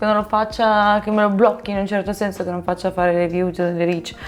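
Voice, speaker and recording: A woman at a medium pitch and moderate pace, over noticeable background noise. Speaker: language-learning YouTuber. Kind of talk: casual vlog explainer. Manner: animated.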